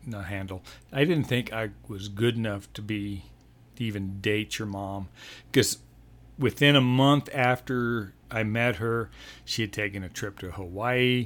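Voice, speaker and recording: In an ordinary speaking voice, a man with an American accent talks at a fairly slow pace and medium pitch with ordinary pitch variation. The recording is very clean against a silent background. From Colorado, Denver (born Texas Panhandle). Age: 60s. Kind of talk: casual interview. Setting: home nursery room.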